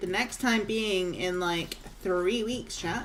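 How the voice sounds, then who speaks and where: A woman with a medium-pitched voice speaks at a fairly slow pace with fairly even intonation. Noticeable background noise and audible room echo sit around her. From northeast Scotland. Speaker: video game streamer. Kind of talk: casual livestream chat. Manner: chatty, relaxed.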